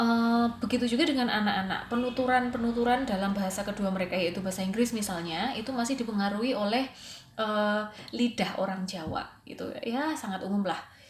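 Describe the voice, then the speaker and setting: Speech comes at a very fast pace with ordinary pitch variation, amid noticeable background noise and audible room echo. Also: woman, fairly high pitch for a woman. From Java, Indonesia. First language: Javanese (speaking Indonesian). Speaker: English teacher and student. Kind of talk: recorded presentation. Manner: casual, hesitant with fillers.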